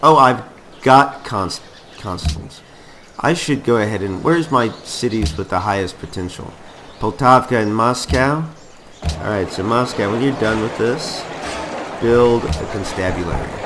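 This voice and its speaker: Over noticeable background noise, a man at medium pitch talks at a fairly slow pace with lively intonation. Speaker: gaming YouTuber. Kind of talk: let's play commentary. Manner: casual, conversational.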